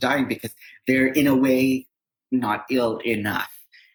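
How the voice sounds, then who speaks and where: A man with a Canadian accent has a plain, everyday voice. He speaks at a moderate pace with fairly even intonation. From Canada, Toronto. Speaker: psychotherapist and social worker. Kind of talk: podcast interview conversation.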